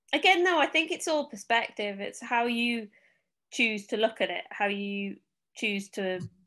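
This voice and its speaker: Over a quiet background, a woman with a Manchester accent talks at a fairly slow pace in a fairly high, bright, sharp voice with lively intonation and long, frequent pauses. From Manchester, England. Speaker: Paralympic cyclist. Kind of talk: interview answer.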